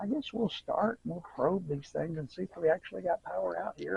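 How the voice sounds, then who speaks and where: A man with a rural American accent at a moderate pace. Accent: rural American country. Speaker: workshop handyman. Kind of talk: casual talk to camera.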